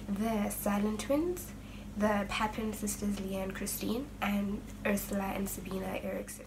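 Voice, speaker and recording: A woman talks at a fairly slow pace over noticeable background noise, with audible room echo. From South Africa. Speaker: true crime YouTuber. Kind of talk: true crime storytelling. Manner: casual.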